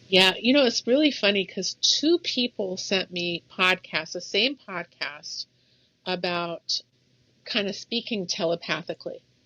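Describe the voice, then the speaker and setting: A woman speaks at a fairly slow pace in a plain, everyday voice. Her intonation is lively. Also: medium pitch for a woman. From Egypt, moved to US as child. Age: 60s. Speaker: salon owner. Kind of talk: interview conversation.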